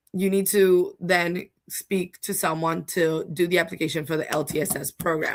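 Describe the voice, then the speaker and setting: A woman talks at a moderate pace, her pitch fairly low and her intonation fairly even, in an ordinary speaking voice. The recording is very clean, with a silent background. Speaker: home care agency representative explaining Medicaid. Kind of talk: livestream explainer. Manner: casual, chatty.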